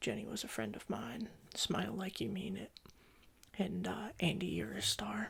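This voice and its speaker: Soft-spoken and whispering, a man talks at a moderate pace. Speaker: ASMR creator doing a CD store employee roleplay. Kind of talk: ASMR roleplay, casual talk to customer. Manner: soft-spoken, whispery.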